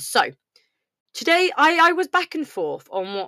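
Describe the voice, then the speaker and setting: A woman speaks at a fairly slow pace in a bright, sharp tone with very wide pitch swings, captured in a very clean recording with a silent background and a dry, close sound with no echo. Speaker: sewing podcast host. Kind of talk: casual monologue.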